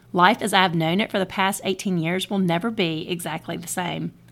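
A woman with a normal speaking voice, medium pitch and a fairly quick pace, in a very clean recording with a silent background. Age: 40s. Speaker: podcast host and author. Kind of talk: speech at a birthday party. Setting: party with audience.

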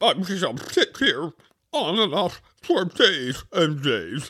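Putting on a high-pitched character voice, a man drags his words out at a very slow pace. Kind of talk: comic character reading.

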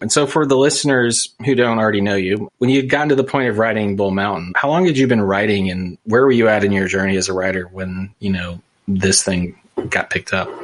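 With an American accent, a man has an unremarkable speaking voice at a fairly low pitch. He talks at a fairly quick pace with ordinary pitch variation. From US, small town. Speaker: podcast host. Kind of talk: casual interview chat.

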